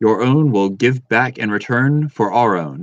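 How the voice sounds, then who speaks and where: Against a quiet background, a man puts on a character voice at a medium pitch with lively intonation and a moderate pace, the sound dry and close with no echo. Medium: read story. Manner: level, dignified.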